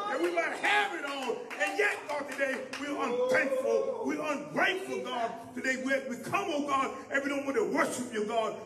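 A man projects a raised voice at an extremely high pitch with lively intonation and a moderate pace. Noticeable background noise runs underneath. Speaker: man leading congregational prayer. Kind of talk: prayer. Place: church. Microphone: handheld.

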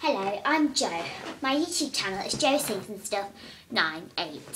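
A woman's squeaky put-on character voice, fairly high in pitch with very wide pitch swings, at a moderate pace over clear background noise.

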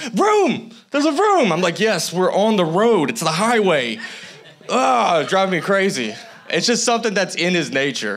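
This man's voice is high and animated, with very wide pitch swings. He keeps a moderate pace. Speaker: guest preacher. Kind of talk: sermon. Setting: church with congregation. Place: church. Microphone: handheld.

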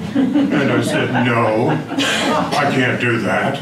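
Noticeable background noise sits behind the voice of a man talking. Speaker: presenter. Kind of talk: public talk. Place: hall. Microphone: camera far.

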